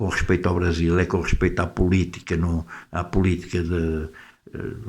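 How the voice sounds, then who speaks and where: A man's very deep, low voice stays monotone and flat throughout. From Portugal. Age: 70s. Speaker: YouTuber, political commentator. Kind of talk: casual monologue to camera. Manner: hesitant, many fillers and repetitions.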